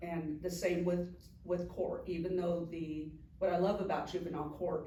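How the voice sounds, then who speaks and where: A woman with an American accent speaks at a fairly slow pace in a fairly low pitch, her intonation monotone and flat, with audible room echo. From California, Anaheim. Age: 60s. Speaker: juvenile court director. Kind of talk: casual interview. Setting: sit-down interview with mayor.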